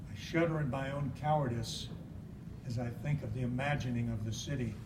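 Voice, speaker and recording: A man's medium-pitched voice at a fairly slow pace, fairly even in intonation, over noticeable background noise. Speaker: poet. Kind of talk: poetry reading.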